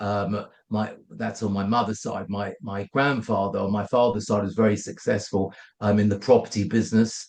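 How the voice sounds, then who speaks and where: A man speaks with a London accent at a fairly quick pace. His pitch is fairly low and his intonation fairly even. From London, England. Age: 50s. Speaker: company founder. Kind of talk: podcast interview. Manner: halting.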